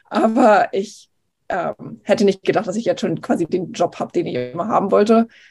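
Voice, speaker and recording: A woman with a medium-pitched voice speaks at a moderate pace, her intonation lively and her voice showing vocal fry. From eastern Germany, Potsdam. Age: 20s. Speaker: TV news reporter. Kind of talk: casual interview.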